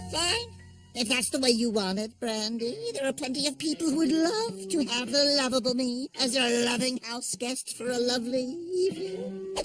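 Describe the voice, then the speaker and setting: Against clear background music, a cartoonish character voice talks at a moderate pace with a fairly high pitch. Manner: fast, manic, goofy.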